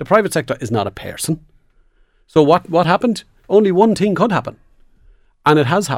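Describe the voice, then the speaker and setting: This man has an Irish accent. He talks at a very fast pace yet leaves long, frequent pauses. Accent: Irish (Louth). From Ireland, Dundalk. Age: 40s. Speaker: trade unionist. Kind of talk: panel discussion.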